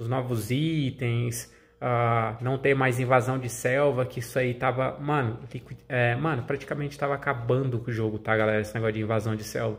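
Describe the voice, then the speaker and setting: Here a man talks with monotone, flat intonation at a medium pitch. His pace is moderate. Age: 30s. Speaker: gaming YouTuber. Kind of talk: casual vlog talk to viewers. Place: home room. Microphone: phone near.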